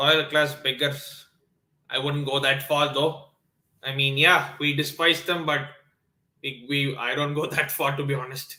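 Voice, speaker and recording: With long, frequent pauses, a man with a Tamil accent talks at a fairly slow pace in a fairly high pitch, his intonation monotone and flat. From South India, Chennai. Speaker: sports YouTuber. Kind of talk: live stream watchalong chat. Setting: live stream, early morning. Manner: hesitant, many fillers.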